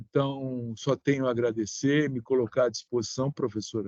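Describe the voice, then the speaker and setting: With a dry, close sound and no echo, a man of medium pitch speaks fairly slowly in a monotone, flat intonation. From Brazil, São Paulo. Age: 60s. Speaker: sanitation engineer. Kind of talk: online seminar remarks.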